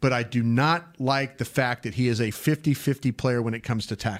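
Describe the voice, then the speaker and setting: A man talks in an ordinary speaking voice at a fairly quick pace and medium pitch, in a very clean recording with a silent background and a dry, close sound with no echo. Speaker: football draft analyst host. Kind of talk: sports podcast discussion. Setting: studio.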